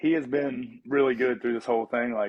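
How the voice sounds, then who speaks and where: With a Southern US accent, a man speaks in fairly even intonation. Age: 30s. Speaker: fitness coach and athlete. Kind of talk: casual chat. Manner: halting.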